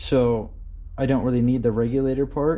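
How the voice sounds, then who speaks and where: A man's dark, mellow voice at medium pitch moves at a moderate pace, with audible room echo. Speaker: car builder vlogger. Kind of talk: casual garage vlog. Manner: animated.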